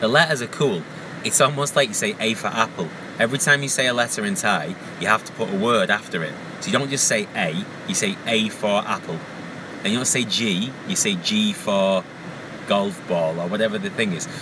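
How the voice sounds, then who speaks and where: Delivered at a fairly quick pace with ordinary pitch variation in a Lancashire accent, the speech sits over noticeable background noise. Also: man, fairly low pitch for a man. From northern England, Wigan. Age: 30s. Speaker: vlogger. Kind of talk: casual vlog while driving. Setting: in a car. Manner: hesitant, many fillers.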